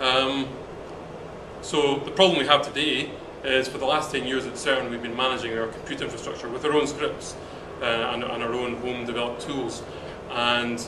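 A man at a moderate pace with long, frequent pauses and noticeable background noise. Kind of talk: interview answer. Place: hall. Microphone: camera far.

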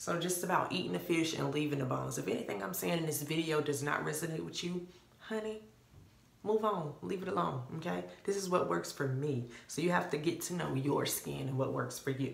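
A woman's very deep, low voice at a fairly quick pace, with very wide pitch swings and audible room echo. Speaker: beauty vlogger. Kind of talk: casual tutorial to camera. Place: bathroom. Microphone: phone near.

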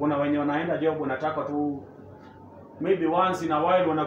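The speech moves at a fairly quick pace. Audible room echo and light background noise can be heard. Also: man. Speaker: show host interviewer. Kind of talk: interview questions. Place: gym. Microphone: camera far.

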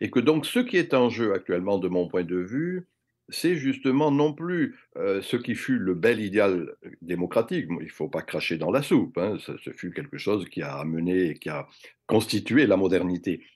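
A man with a fairly low pitch and very wide pitch swings at a fairly slow pace, against a quiet background. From France. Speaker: retired sociology professor. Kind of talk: interview. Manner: hesitant with repetitions. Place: home room. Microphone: webcam.

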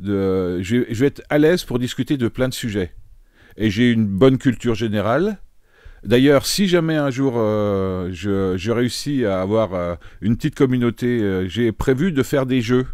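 At a fairly slow pace, a man talks with medium pitch and lively intonation. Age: 50s. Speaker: streamer. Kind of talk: casual live-stream chat while solving chess puzzles. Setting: live stream. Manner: halting, many repetitions and fillers.

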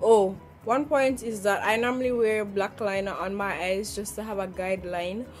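Faint music plays in the background. A woman with a Jamaican accent speaks at medium pitch, with ordinary pitch variation. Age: 20s. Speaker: beauty vlogger. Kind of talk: makeup tutorial talk to camera. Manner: casual, chatty. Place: home room. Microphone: phone near.

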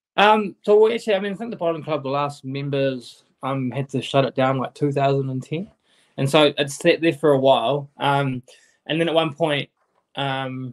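Nothing much stirs in the quiet background. A man's ordinary pitch variation carries his fairly quick pace. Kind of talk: interview answer. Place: home room. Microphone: video call.

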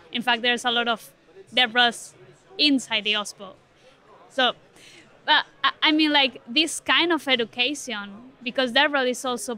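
A woman's high-pitched, bright, sharp voice at a moderate pace, fairly even in intonation, with a dry sound and no echo. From Spain. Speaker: product manager at a tech foundation. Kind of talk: interview. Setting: tech conference. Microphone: studio mic.

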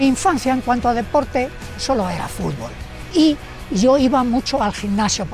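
Clear music plays in the background as a man speaks at a moderate pace with ordinary pitch variation, the sound dry with no echo. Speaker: masters athlete. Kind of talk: interview answer. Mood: proud, determined. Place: stadium. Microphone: lapel.

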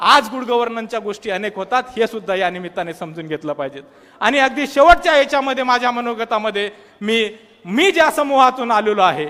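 Lively in intonation, a man speaks at an extremely high pitch. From Maharashtra, Buldhana district (Vidarbha). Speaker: student activist. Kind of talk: public speech. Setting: stage with audience. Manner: animated.

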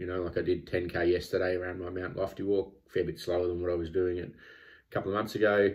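Against a quiet background, a man with an Australian accent talks in a very deep, low pitch. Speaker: vlogger training for a triathlon. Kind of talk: personal vlog monologue. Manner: halting, many filler words. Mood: candid, self-critical, calm. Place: home room. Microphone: phone near.

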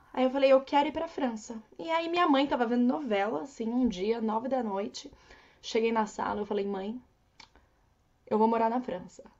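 Her pitch fairly high, a woman talks at a moderate pace with lively intonation against a quiet background. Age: 20s. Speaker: au pair and travel influencer; travel influencer. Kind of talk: casual interview chat. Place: home room. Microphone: earbuds.

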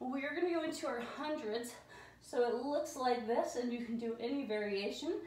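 A woman speaks in a calm, relaxed tone at a high pitch with ordinary pitch variation, and audible room echo surrounds her voice. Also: moderate pace. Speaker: fitness instructor. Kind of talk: guided Pilates workout class, giving spoken exercise cues. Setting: home studio, video workout. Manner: calm, encouraging, steady; instructional, with a relaxed, friendly tone. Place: home room. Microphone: camera far.

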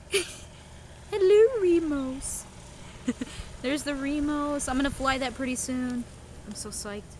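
Against light background noise and with a dry sound with no echo, a woman speaks very slowly in a high pitch with lively intonation. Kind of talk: casual vlog chat. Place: open country. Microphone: phone near.

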